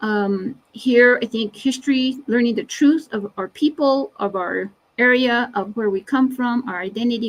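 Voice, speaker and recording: A woman speaks at a moderate pace. Her voice is fairly high, with ordinary pitch variation. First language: Navajo. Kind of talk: webinar presentation. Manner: halting, many fillers.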